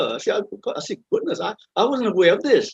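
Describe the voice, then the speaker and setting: A man with a Malaysian accent talks at a very fast pace. His pitch swings very widely. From Malaysia, Kuala Lumpur. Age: 70s. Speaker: retired army officer. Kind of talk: interview. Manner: halting, many repetitions.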